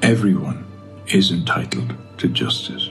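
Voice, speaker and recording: Faint music plays in the background. A man speaks with very wide pitch swings. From Belfast, Northern Ireland. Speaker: actor. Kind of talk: open letter reading. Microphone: phone near.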